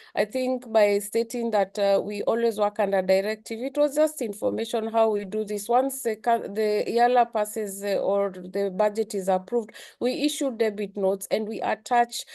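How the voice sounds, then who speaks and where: Over a quiet background, a dark, mellow tone moves at a moderate pace with fairly even intonation and hardly any pauses. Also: woman. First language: not English. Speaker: secretary general of a regional community. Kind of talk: parliamentary address. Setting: legislative assembly plenary. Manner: soft-spoken; hesitant, many fillers.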